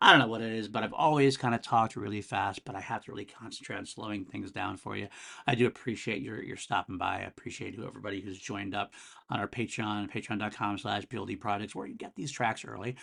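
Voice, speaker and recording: Very fast and bright, sharp in tone, a man speaks with vocal fry and big swings in loudness. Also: fairly low pitch for a man, ordinary pitch variation. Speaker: music podcast host. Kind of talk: solo music review podcast. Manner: casual, filler-heavy.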